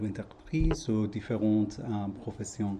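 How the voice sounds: This man's voice sits at a fairly low pitch, with a dark, mellow tone and a fairly slow pace.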